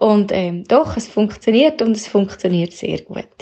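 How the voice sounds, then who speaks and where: The pace is very slow. Her pitch sits in the medium range as this woman speaks. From Switzerland. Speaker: coaching participant, manager and mother. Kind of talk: voice message. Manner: halting.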